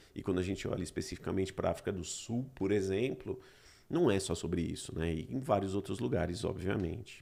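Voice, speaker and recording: Fairly low in pitch and somewhat breathy, a man speaks at a fairly quick pace with a dark, mellow tone and ordinary pitch variation. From Brazil. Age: 40s. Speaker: podcast host. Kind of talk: casual chat.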